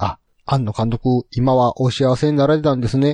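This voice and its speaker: Dark, mellow male voice, dry and close with no echo, over a quiet background. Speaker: podcast host. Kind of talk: casual chat.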